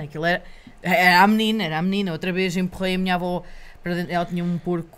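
A woman's medium-pitched voice rushes along at a very fast pace. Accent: European Portuguese. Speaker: local election candidate. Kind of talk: casual interview. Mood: amused, telling childhood story. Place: studio. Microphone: studio mic.

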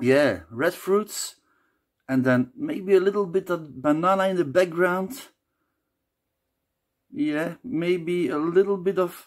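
A man talking very slowly against a quiet background. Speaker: beer reviewer. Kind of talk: casual review talk. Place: home room. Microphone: phone near.

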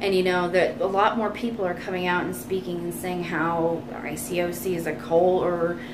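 Someone with an American accent speaks at a moderate pace. Background noise can be heard clearly. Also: woman. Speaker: vlogger. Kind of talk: storytime monologue. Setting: home vlog.

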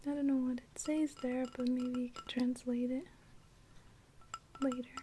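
The speaker is soft-spoken and talks at a moderate pace over light background noise. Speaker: ASMR unboxing creator. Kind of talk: ASMR unboxing, soft-spoken talk to camera.

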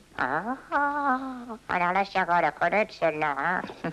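Putting on a character voice, a man talks at a fairly slow pace with a high pitch. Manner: cheeky, playful.

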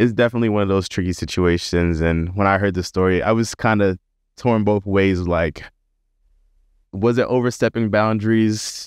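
Against a quiet background, a man with a normal speaking voice and fairly low pitch talks at a moderate pace, with fairly even intonation and very even loudness. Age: 30s. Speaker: podcast host and medical student. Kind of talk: casual chat.

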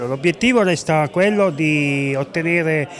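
A man is speaking here. There is light background noise. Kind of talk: interview answer. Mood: proud, calm. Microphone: handheld.

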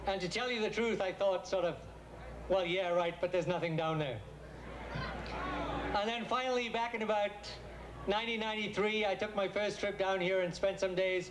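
Amid light background noise, a man with a high pitch talks at a moderate pace with fairly even intonation and long, frequent pauses. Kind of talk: humorous speech to a crowd. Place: stage. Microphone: handheld.

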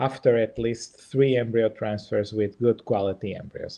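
A man speaks at a moderate pace with a Portuguese accent. His intonation is monotone and flat over a quiet background. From Portugal. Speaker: embryologist and IVF lab director; presenter. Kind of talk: webinar presentation and Q&A. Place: home room. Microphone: webcam.

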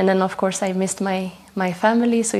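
A woman speaks with a dark, mellow tone. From Sweden. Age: 20s. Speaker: food scientist; guest. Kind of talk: TV interview. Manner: hesitant with fillers. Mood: warm, pleased. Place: studio. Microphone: lapel.

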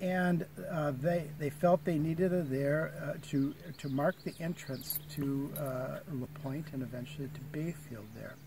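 Somewhat breathy and dark, mellow in tone, a man speaks at a fairly slow pace with fairly even intonation in a dry sound with no echo, over noticeable background noise. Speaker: park ranger guide. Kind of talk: guided tour talk. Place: open country. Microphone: phone near.

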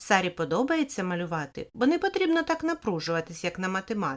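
Someone reads aloud plainly. The delivery is simple reading.

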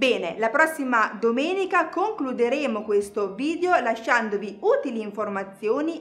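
At a moderate pace, a woman speaks at a high pitch with very wide pitch swings. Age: 30s. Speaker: fitness instructor. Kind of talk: tutorial; tutorial explanation to viewers. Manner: casual. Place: studio.

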